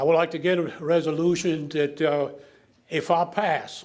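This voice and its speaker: Speaking in a south Louisiana accent, a man talks at a moderate pace, with audible room echo around him. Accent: south Louisiana Cajun English. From south Louisiana (Lafourche Parish). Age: 80s+. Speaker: public commenter at council meeting. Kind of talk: public comment at government meeting. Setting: council meeting chamber.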